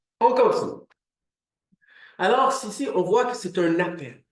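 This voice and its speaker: A fairly slow delivery unfolds with audible echo from the room. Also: man. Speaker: preacher. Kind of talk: sermon.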